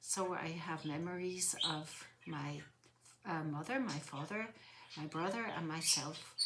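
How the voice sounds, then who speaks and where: A woman with a fairly low-pitched voice talks against noticeable background noise. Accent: Swiss. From Switzerland, Zurich lake area (Swiss German). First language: Swiss German (bilingual with English). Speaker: interviewee. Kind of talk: interview, life story. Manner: hesitant, frequent fillers.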